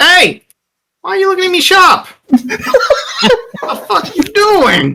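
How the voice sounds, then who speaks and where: A put-on character voice at an extremely high pitch, swinging very widely in pitch, at a fairly slow pace. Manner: aggressive, confrontational.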